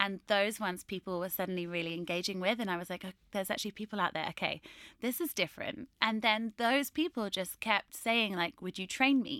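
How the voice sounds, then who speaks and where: In a very clean recording with a silent background and a dry, close sound with no echo, a woman with a bright, sharp tone speaks with hardly any pauses and ordinary pitch variation. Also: medium pitch for a woman, fairly quick pace. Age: 30s. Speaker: fitness youtuber and personal trainer. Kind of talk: casual chat.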